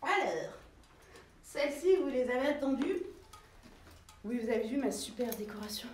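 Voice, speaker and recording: In a room with audible echo and noticeable background noise, a woman speaks fairly slowly at a high pitch, with lively intonation. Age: 30s. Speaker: boutique owner and online fashion seller. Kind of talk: live shopping stream. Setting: in her shop, filming herself. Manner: casual, chatty.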